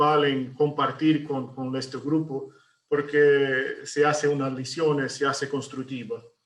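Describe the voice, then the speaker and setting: A man speaks with a Brazilian accent in a fairly high pitch. His pace is fairly slow. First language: Portuguese (speaking Spanish). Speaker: architect. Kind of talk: webinar presentation. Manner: halting, many fillers and repetitions.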